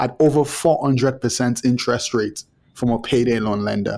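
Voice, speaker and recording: A man with a Nigerian accent and a medium-pitched voice. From Nigeria, Lagos. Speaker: startup co-founder. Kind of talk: interview.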